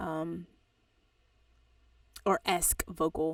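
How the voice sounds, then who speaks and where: This woman speaks in a monotone with flat intonation. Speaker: audio engineer and music producer teaching. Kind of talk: tutorial. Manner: casual.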